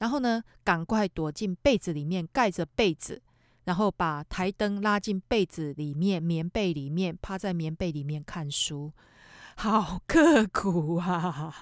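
A woman with a Taiwanese accent speaks at a very slow pace and fairly low pitch with ordinary pitch variation, in a dry, close sound with no echo on a very clean recording with a silent background. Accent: Taiwanese Mandarin. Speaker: podcast host, real estate agent. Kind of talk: casual monologue.

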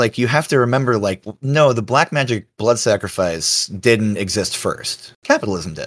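In a very clean recording with a silent background, a man speaks in a normal speaking voice at medium pitch, with ordinary pitch variation and a moderate pace. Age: 30s. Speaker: podcast guest. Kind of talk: casual chat.

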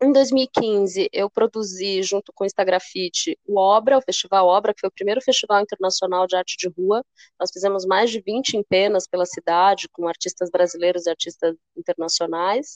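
A woman speaks in a plain, everyday voice at medium pitch and a moderate pace, with ordinary pitch variation and a dry, close sound with no echo. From São Paulo state, Brazil (São Bernardo do Campo). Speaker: cultural producer and curator. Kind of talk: casual interview chat.

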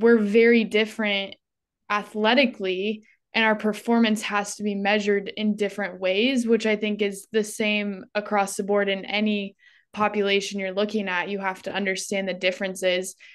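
With an American accent, a woman speaks at a moderate pace and medium pitch in a monotone, flat intonation against a quiet background. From Northern California, rural. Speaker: psychology student and intern. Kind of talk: casual chat.

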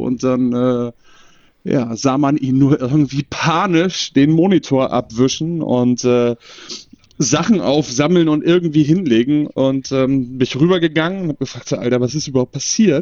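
This man has an unremarkable speaking voice, a medium pitch, ordinary pitch variation and a moderate pace. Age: 30s. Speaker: podcast guest. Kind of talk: casual chat. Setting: remote call.

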